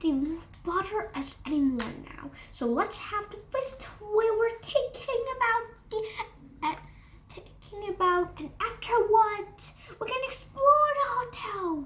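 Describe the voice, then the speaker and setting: Over clear background noise, a woman whispers in a put-on character voice at a fairly slow pace. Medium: read story. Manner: whispering, playful.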